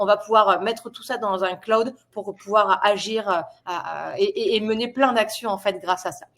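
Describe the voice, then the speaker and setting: Speaking in an unremarkable speaking voice, a woman keeps fairly even intonation and a moderate pace at a fairly high pitch, with big swings in loudness. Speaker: product presenter. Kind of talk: webinar presentation. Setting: online webinar.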